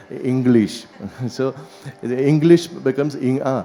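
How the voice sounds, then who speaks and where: Over noticeable background noise, a man speaks fairly slowly at a medium pitch. His intonation stays fairly even. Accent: strong Keralan. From Kerala, India. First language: Malayalam.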